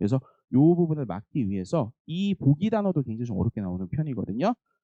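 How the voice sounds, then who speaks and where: A man's dark, mellow voice moves through very wide pitch swings. The sound is dry and close with no echo, over a quiet background. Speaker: English academy teacher. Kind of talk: info session for parents. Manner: fast.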